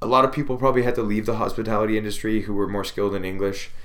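A man talks very fast with a Canadian accent and fairly even intonation. Room echo is audible. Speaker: podcast host. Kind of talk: solo monologue. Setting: alone in a room. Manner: casual, filler-heavy.

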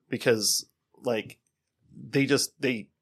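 Talking very slowly, a man speaks at medium pitch. He has a Wisconsin accent. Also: dry, close sound with no echo. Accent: Upper Midwest (Wisconsin). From Wisconsin, Racine. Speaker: podcast co-host. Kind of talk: casual chat.

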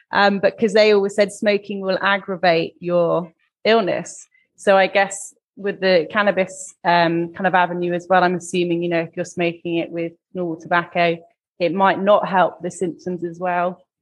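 With a British accent, a woman speaks at medium pitch and moderate pace in a monotone, flat intonation. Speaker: podcast host. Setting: video call.

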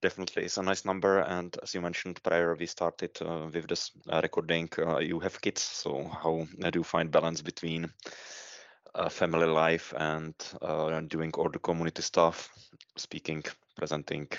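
A man with a Czech accent and a very deep, low pitch speaks at a moderate pace in monotone, flat intonation, his loudness swinging widely. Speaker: podcast co-host, consultant. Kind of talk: podcast interview.

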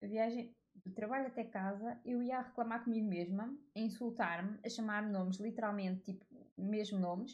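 A woman's fairly high, somewhat breathy voice with fairly even intonation, at a moderate pace. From Portugal. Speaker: podcaster. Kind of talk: casual monologue. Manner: informal, with frequent fillers.

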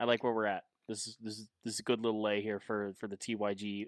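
His speech runs at a very fast clip. There's no echo, and the sound is dry and close. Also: very clean recording, silent background. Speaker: podcast co-host. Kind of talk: casual sports chat.

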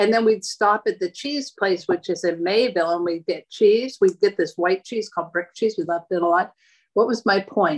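With an American accent, a woman speaks at a moderate pace and medium pitch with ordinary pitch variation, a plain, everyday voice against a quiet background. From Erie, Pennsylvania, US. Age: 60s. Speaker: host's mother, home cook. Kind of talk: casual chat. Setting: video call.

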